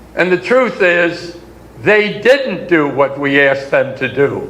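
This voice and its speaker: A man with an American accent speaks very slowly, his pitch swinging very widely. Noticeable background noise and audible room echo fill the recording. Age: 90s. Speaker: war veteran. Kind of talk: speech to an audience. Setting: conference session.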